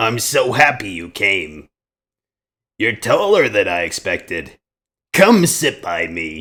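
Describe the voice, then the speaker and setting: A booming put-on character voice moves at a fairly slow pace. Long pauses come often. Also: man, medium pitch for a man. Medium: read story.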